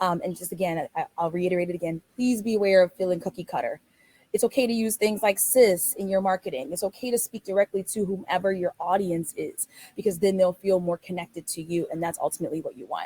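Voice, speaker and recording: In a dry, close sound with no echo, a woman talks at a very fast pace, her dark, mellow tone somewhat breathy. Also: medium pitch for a woman, ordinary pitch variation. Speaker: travel business owner. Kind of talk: webinar presentation. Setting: online webinar.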